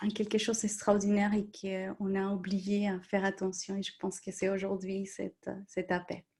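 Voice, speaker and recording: A woman with a Colombian accent speaks very slowly at a medium pitch. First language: Spanish (speaking French). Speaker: coach or therapist. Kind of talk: live-stream group discussion.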